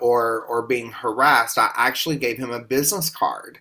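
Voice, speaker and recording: A man with a Southern US accent, a bright, sharp tone at a medium pitch, fairly even intonation, and a moderate pace, on a very clean recording with a silent background. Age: 40s. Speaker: podcast host. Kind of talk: testimony.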